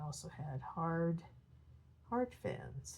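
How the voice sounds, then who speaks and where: A woman with a very deep, low voice speaks in a dark, mellow tone that is somewhat breathy. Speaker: coloring hobbyist YouTuber. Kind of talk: casual tutorial narration while coloring. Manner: soft-spoken, hesitant with fillers.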